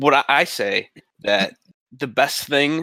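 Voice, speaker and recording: The sound is dry and close with no echo. A man speaks in a bright, sharp tone with ordinary pitch variation. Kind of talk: casual chat. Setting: video call.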